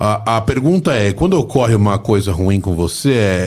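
The speech moves at a fairly slow pace and sounds somewhat breathy. The recording is very clean, with a silent background. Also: man. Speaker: podcast host. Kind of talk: casual interview chat. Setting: studio.

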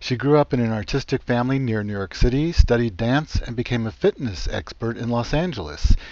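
A man at a fairly quick pace, medium pitch, an ordinary speaking voice. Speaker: radio host. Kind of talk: radio interview. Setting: phone call.

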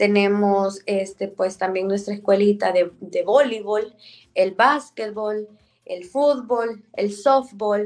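A woman's ordinary speaking voice, medium in pitch with ordinary variation, at a fairly slow pace. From El Salvador. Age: 30s. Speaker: mayor. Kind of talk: interview.

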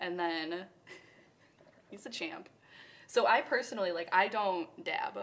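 Speaking very slowly with long, frequent pauses, a woman at a medium pitch uses lively intonation and big shifts in loudness. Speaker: cannabis podcast co-host. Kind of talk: casual chat. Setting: live-streamed studio setup.

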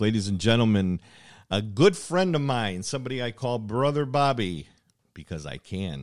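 Lively intonation at a moderate pace comes through on a very clean recording with a silent background. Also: man. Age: 60s. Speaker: podcast host. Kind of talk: casual chat. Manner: animated.

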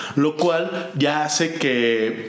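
A man speaks with a Mexican accent. Audible room echo and noticeable background noise fill the recording. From Mexico. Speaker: board game podcast co-host. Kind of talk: casual chat. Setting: video podcast.

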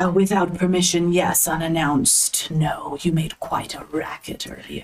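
A woman uses a put-on character voice with a fairly low pitch. Her pace is moderate. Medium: actual play. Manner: formal, imperious, possessive; guarded.

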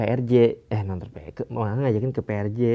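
At a moderate pace, a man talks with a medium pitch. His intonation stays fairly even. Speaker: podcast host. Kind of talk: casual monologue. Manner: halting, many fillers.

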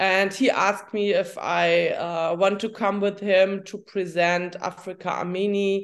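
Speaking at a very slow pace, a woman with a German accent has a medium pitch. The background is quiet. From Germany. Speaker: journalist and coach. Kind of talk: interview. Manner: halting.

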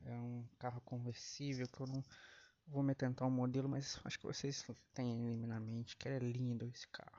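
A man's medium-pitched voice at a moderate pace, monotone and flat. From Brazil. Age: 30s. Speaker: podcast host. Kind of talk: casual monologue.

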